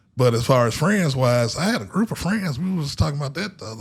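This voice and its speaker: This man speaks at a fairly quick pace in a fairly high, somewhat breathy voice that swings very widely in pitch. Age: 40s. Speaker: podcast host. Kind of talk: casual chat.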